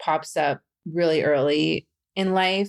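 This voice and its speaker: The woman's voice is very deep and low in pitch, with fairly even intonation. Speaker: podcast host, person who stutters. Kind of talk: interview answer. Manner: stutters.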